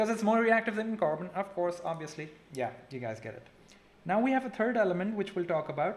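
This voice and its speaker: A man at a high pitch with very wide pitch swings and a fairly quick pace, over noticeable background noise. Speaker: chemistry teacher. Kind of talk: live online lesson. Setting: live stream. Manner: casual, chatty.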